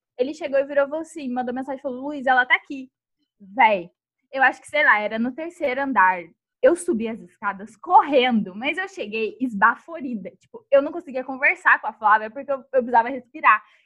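Her high-pitched voice has a bright, sharp tone, lively intonation, big swings in loudness and a fairly quick pace. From Taubaté, São Paulo state, Brazil. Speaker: podcast co-host. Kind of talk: casual chat.

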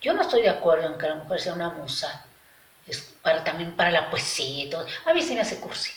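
Against noticeable background noise and audible room echo, a woman speaks at a fairly quick pace in a fairly low pitch. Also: ordinary pitch variation. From Mexico, Aguascalientes. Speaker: visual artist. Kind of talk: interview. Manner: halting, with repetitions.

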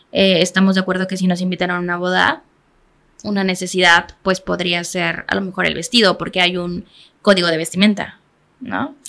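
A bright, sharp tone with fairly even intonation at a fairly quick pace. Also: woman, medium pitch for a woman. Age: 20s. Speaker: makeup artist. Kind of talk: interview.

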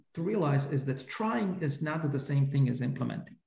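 A man speaks with lively intonation and a dark, mellow tone. There is audible room echo. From Slovakia. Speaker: economics professor. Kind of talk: interview. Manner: hesitant, many fillers.

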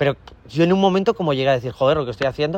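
Here a man speaks at a very fast pace. His pitch is fairly high, with ordinary variation. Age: 20s. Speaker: dating coach. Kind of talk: interview. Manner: animated.

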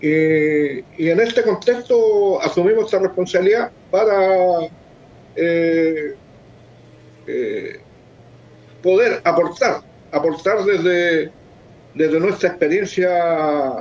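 Speaking at a very slow pace with long, frequent pauses, a man uses a high pitch, ordinary pitch variation and very even loudness. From Chile, Lota. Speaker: political candidate, former councillor. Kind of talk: online panel discussion.

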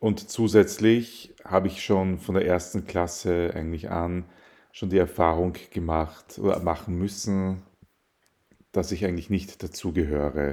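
A man speaks at a fairly slow pace in a very deep, low pitch. His tone is dark and mellow, and his intonation fairly even. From Austria, Vienna. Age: 30s. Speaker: podcast guest. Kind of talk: interview.

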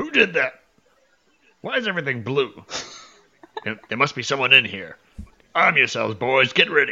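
Shouting in a gruff, put-on character voice, a man speaks at a medium pitch and a moderate pace, with long, frequent pauses. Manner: yelling, gruff, alarmed.

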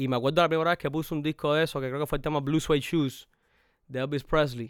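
On a very clean recording with a silent background, a man with a Cuban accent and a fairly high voice talks very fast. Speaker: rapper and producer. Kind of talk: casual chat.

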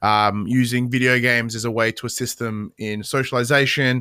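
Spoken in a monotone with flat intonation and an Australian accent, the voice has a bright, sharp tone on a very clean recording with a silent background. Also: man. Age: 30s. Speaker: podcast host and games journalist. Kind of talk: casual chat.

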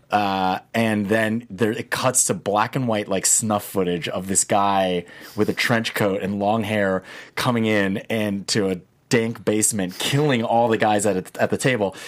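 A man with an American accent speaks at a fairly slow pace in an ordinary speaking voice, his pitch fairly low and his intonation fairly even. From New Jersey suburbs, US. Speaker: film writer and director. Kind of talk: interview.

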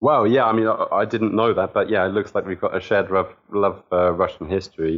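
Talking at a fairly quick pace with hardly any pauses, a man with a southern English accent keeps his loudness very even. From Southampton, southern England. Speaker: football fan. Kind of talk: casual chat.

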